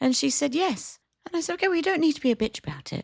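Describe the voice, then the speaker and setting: A woman with a British accent, animated and very fast, her pitch swinging very widely, in a dry, close sound with no echo. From Britain. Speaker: podcast co-host, cafe owner. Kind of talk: casual chat. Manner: animated storytelling.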